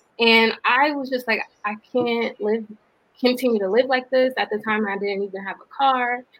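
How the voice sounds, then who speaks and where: In an American accent, a woman with an unremarkable speaking voice talks at a moderate pace and fairly high pitch, her intonation fairly even and her loudness swinging widely. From US South, Atlanta, Georgia. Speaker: social entrepreneur. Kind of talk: interview.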